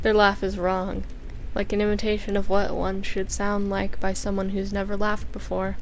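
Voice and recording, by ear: Someone is reading aloud in a natural voice. The reading is heard throughout the clip.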